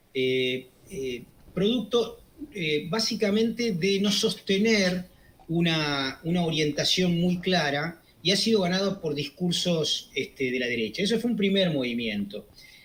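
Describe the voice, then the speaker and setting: Noticeable background noise surrounds a man with a high pitch. His intonation is lively and his pace fairly slow. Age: 60s. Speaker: economist, political commentator. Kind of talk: interview. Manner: hesitant, many fillers.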